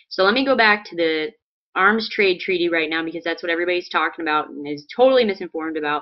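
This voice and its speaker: Very fast, a woman speaks in an American accent. Her loudness swings widely. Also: ordinary pitch variation. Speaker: political video blogger. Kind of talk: political commentary vlog.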